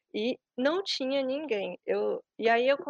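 A high-pitched woman's voice with ordinary pitch variation, dry and close with no echo. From Brazil. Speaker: Brazilian expat interviewee. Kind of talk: interview. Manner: hesitant, many fillers.

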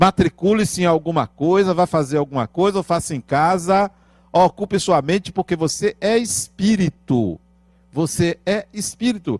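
A man's high-pitched voice with ordinary pitch variation and very even loudness, in a dry, close sound with no echo. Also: moderate pace. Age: 50s. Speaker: spiritist lecturer. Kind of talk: spiritual lecture.

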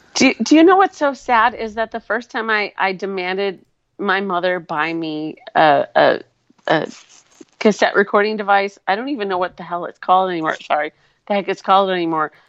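A woman's ordinary speaking voice, medium in pitch, fairly quick and lively in intonation, with a dry, close sound and no echo. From Wisconsin. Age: 40s. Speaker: co-host guest, commentator. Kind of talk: casual chat. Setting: live video stream.

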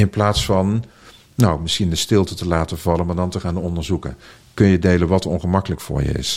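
Over noticeable background noise, a man with a very deep, low voice talks at a fairly quick pace with fairly even intonation. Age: 40s. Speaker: founder of a school for transition, speaker. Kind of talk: interview conversation. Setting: at a table in person.

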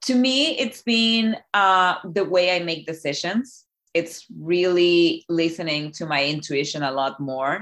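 A woman speaks very slowly in a Spanish accent. Her pitch sits fairly low. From Chile. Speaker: life coach. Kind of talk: interview.

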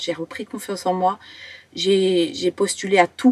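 The recording is dry and close, with no echo. A woman speaks fairly slowly at a medium pitch with fairly even intonation. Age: 20s. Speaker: professional dancer and acrobat. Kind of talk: personal testimony in podcast interview. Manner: halting.

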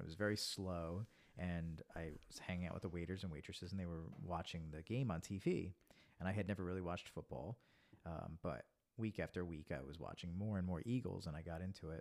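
Soft-spoken but at a very fast pace, a man with a very deep, low pitch talks with ordinary pitch variation. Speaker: friend and singer. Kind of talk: casual chat.

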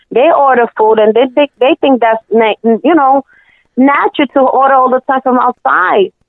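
With a New York accent, a woman speaks at high pitch and a moderate pace, with ordinary pitch variation and very even loudness. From US Northeast, Brooklyn, New York. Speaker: home cook and small food business owner. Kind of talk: casual interview. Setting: phone call. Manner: shy.

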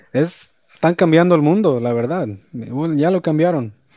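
With a Los Angeles accent, a man speaks in a dark, mellow tone with ordinary pitch variation, and the sound is dry and close, with no echo. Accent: Los Angeles Spanglish, US-accented Spanish. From El Salvador, raised in Los Angeles. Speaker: electrician and business owner. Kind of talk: casual interview. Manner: code-switching English and Spanish.

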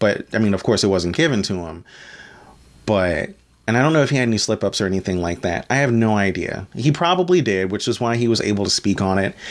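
A man talks very fast in an American accent, his intonation lively. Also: fairly low pitch for a man. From Maryland, US. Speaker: podcast host. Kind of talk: solo podcast monologue. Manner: casual, with fillers.

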